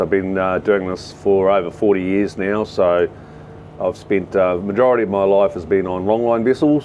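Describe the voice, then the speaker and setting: With noticeable background noise behind him, a man with a fairly low voice speaks at a moderate pace and fairly even intonation. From New Zealand. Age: 60s. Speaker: commercial fishing boat captain. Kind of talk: casual vlog walkthrough. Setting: on a fishing boat at sea. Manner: hesitant, many fillers.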